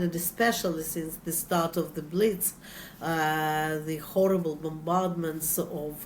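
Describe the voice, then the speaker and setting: Audible room echo surrounds this woman's voice. She speaks with a Russian accent at a fairly low pitch. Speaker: author. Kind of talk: interview. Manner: halting, frequent fillers.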